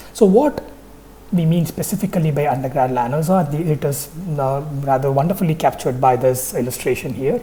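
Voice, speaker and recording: With a Tamil accent, a woman talks at a fairly quick pace in a very deep, low voice with lively intonation. Noticeable background noise and audible room echo surround her. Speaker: university lecturer. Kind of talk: lecture. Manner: hesitant with frequent fillers.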